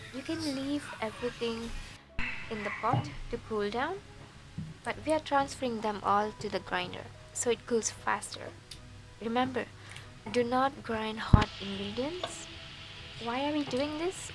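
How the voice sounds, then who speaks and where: Music plays in the background as a woman speaks at a fairly high pitch with ordinary pitch variation. She talks at a fairly slow pace with long, frequent pauses. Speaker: home cook. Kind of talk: cooking tutorial narration.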